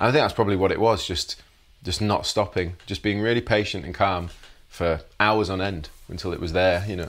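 A man with a Yorkshire accent speaks at a fairly quick pace and fairly low pitch, with ordinary pitch variation. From northern England, Leeds, West Yorkshire. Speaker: guitarist. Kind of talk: casual interview.

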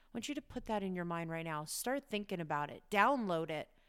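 On a very clean recording with a silent background, a woman speaks in an unremarkable speaking voice at a medium pitch with lively intonation. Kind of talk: guided meditation. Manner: warm, encouraging, lightly chatty, with occasional laughs.

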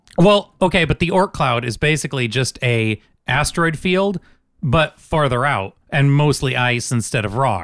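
A normal speaking voice from a man, fairly high in pitch, with lively intonation at a moderate pace. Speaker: podcast host. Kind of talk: casual banter.

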